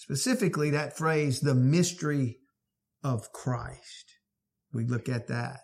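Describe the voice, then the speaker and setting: A man's fairly high voice, somewhat breathy, at a very slow pace with ordinary pitch variation. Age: 50s. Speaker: pastor. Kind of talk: sermon.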